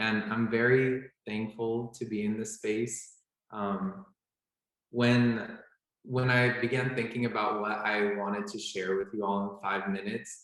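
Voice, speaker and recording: A man with an American accent and a plain, everyday voice speaks at a fairly slow pace, with medium pitch and fairly even intonation. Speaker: medical student. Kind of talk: panel talk.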